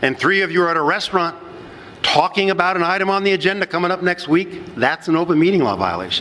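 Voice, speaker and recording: There is noticeable background noise as a man talks in a high voice. He speaks at a very fast pace. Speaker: municipal attorney, ethics speaker. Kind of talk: conference lecture. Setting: conference session with audience. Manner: halting, many repetitions.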